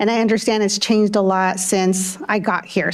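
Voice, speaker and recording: Over noticeable background noise, a woman with a Spanish accent speaks at medium pitch with fairly even intonation. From California, Windsor area; Spanish-speaking immigrant family. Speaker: school board member. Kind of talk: public meeting remarks. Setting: school board meeting. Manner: halting, many fillers.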